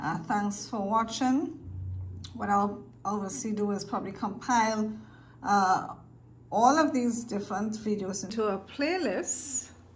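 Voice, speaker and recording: Audible room echo surrounds a somewhat breathy woman. Her pitch varies in an ordinary way. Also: medium pitch for a woman, fairly slow pace. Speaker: video creator teaching cube solving. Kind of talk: tutorial. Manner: casual, halting with fillers.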